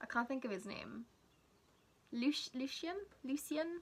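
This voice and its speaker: With a South Wales accent, a woman projects a raised voice at a high pitch, her tone bright and sharp, her intonation lively and her pace moderate. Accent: Welsh English (South Wales). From Wales, South Wales. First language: Welsh. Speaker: book vlogger. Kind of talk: casual vlog chat. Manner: casual, chatty with fillers.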